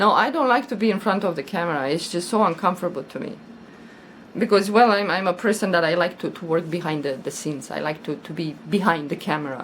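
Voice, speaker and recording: With lively intonation, a woman speaks at a very fast pace and a fairly low pitch. There is noticeable background noise. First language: not English. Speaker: crochet YouTuber. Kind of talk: casual vlog chat. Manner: halting, repeats words.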